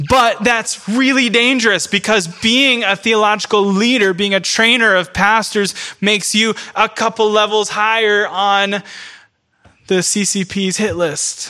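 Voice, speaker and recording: The voice is raised and projected, moving at a fairly slow pace. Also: man, high pitch for a man, fairly even intonation. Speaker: pastor. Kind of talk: sermon.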